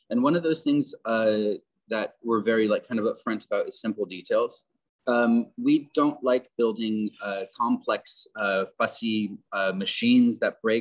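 A man talks at a fairly slow pace. He has a General American accent. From Southern California. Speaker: landscape architect. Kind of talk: presentation. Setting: video call.

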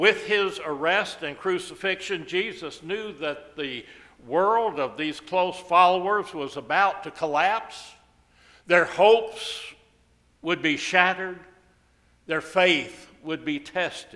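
Against a quiet background, a man talks in a high pitch with ordinary pitch variation. His pace is very slow. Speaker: pastor. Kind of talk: sermon. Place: church. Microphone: podium.

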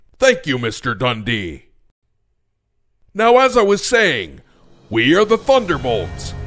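A man performs a put-on character voice. Faint music plays in the background.

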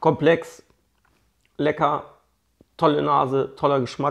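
A man with a fairly high pitch and vocal fry speaks at a very slow pace. His pauses are long and frequent. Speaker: whisky blogger. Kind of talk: casual video review, whisky tasting. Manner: casual, chatty.

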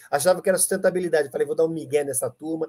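A man's fairly high-pitched voice at a very fast pace, dark and mellow in tone, with ordinary pitch variation. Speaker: ESG teacher. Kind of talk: live stream chat. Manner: animated.

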